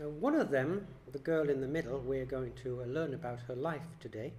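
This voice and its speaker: A man's fairly high voice, somewhat breathy, with ordinary pitch variation, a moderate pace and audible room echo. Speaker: lay preacher. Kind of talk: sermon. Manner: soft-spoken.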